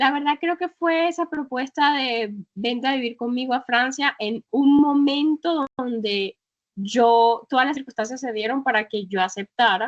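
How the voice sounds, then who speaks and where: A woman's high voice at a fairly slow pace, with ordinary pitch variation and a dry, close sound with no echo. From northern Colombia. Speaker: travel blogger and travel agency founder. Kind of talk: interview.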